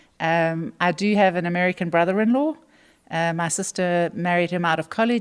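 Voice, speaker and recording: There is a very clean recording with a silent background. A woman with a South African accent talks at a moderate pace in a medium pitch with ordinary pitch variation. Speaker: retail executive. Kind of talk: interview.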